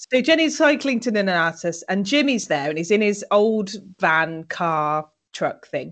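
A fairly slow pace in a British accent. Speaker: podcast co-host recapping a TV show. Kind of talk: casual chat. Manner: animated.

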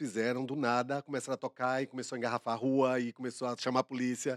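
A man with a Bahian accent at a very fast pace, dry and close with no echo, in a very clean recording with a silent background. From Bahia, Brazil. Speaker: co-host. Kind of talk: casual chat.

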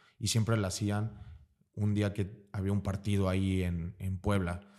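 A man's dark, mellow voice at a fairly slow pace, in a very clean recording with a silent background. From Mexico, Veracruz. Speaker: American football player. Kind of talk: casual interview.

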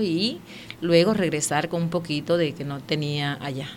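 A woman with a fairly low voice talks in a space with audible room echo and noticeable background noise. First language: Warao (speaking Spanish). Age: 40s. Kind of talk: interview testimony.

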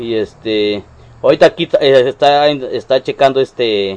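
A man speaks with a Mexican accent. His pitch is fairly high. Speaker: streamer interviewing a guest. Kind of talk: casual chat.

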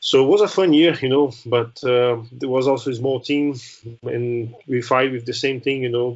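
Speaking with a Brazilian accent, a man uses a medium pitch and fairly even intonation. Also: moderate pace. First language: Portuguese. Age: 30s. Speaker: former racing driver and helicopter pilot. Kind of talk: interview. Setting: remote call.

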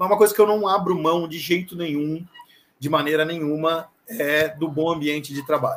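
A man's normal speaking voice, fairly high in pitch, at a moderate pace with fairly even intonation. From Brazil, Santa Catarina (Florianópolis). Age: 40s. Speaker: sales executive. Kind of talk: interview. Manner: casual.

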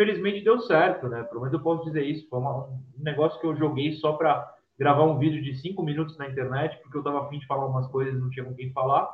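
At a fairly quick pace, an ordinary speaking voice carries ordinary pitch variation. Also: man. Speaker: sports journalist and youtuber. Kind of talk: casual chat. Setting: live stream.

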